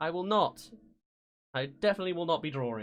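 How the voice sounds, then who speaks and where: An English accent at a moderate pace on a very clean recording with a silent background. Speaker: streamer reacting to trailers. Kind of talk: live stream reaction commentary. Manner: halting, self-correcting.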